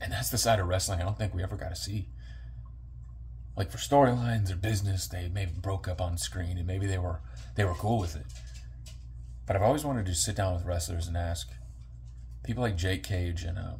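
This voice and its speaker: With vocal fry and a very deep, low pitch, a man talks at a fairly quick pace, with very wide pitch swings and long, frequent pauses. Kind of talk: wrestling-style promo monologue to camera.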